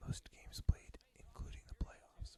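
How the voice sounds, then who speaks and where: Whispering, a man speaks at a fairly slow pace. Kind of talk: ASMR whispered fact reading. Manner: whispered, soft-spoken.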